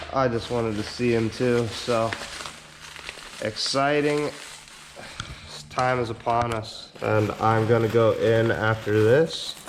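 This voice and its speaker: Very slow speech with long, frequent pauses and fairly even intonation comes through noticeable background noise. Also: man, medium pitch for a man. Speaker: car enthusiast vlogger. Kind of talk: casual unboxing vlog.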